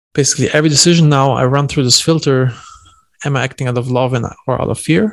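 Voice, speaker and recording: A man's very fast talk at medium pitch with fairly even intonation. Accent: German. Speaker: entrepreneur. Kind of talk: podcast interview. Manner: casual.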